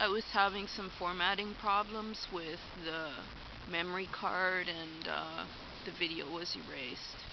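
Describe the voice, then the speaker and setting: In a Canadian accent, a woman with a fairly low voice speaks with fairly even intonation, and audible room echo surrounds her. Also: fairly slow pace. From Alberta, Canada. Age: 40s. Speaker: vlogger. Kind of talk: personal vlog monologue. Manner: hesitant, many fillers.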